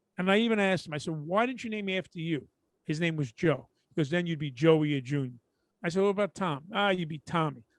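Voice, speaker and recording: In a Brooklyn accent, a man speaks at a very fast pace with a high pitch and ordinary pitch variation against a quiet background. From Brooklyn, New York. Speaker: podcast co-host, comedian. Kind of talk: casual chat. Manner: animated.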